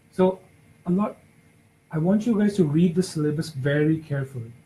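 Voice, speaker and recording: A man's fairly high voice with a dark, mellow tone, a non-native accent, ordinary pitch variation and a moderate pace. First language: not English. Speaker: exam prep session leader. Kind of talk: peer discussion session. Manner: halting.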